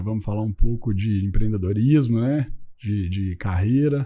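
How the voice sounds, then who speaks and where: On a very clean recording with a silent background, a man with a Minas Gerais accent speaks with a dark, mellow tone, fairly low pitch, and fairly even intonation. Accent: Minas Gerais accent, still noticeable. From Minas Gerais, Brazil. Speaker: company founder, entrepreneur. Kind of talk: podcast interview. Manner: casual, with fillers.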